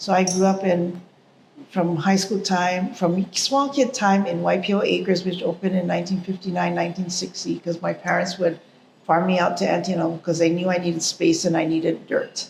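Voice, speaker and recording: A woman with a Hawaiian accent speaks at a fairly quick pace with fairly even intonation, over noticeable background noise. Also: fairly low pitch for a woman. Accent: Hawaiian local English. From Hawaii, Honolulu / Oahu. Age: 60s. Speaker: interviewee, artist. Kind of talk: interview, life story.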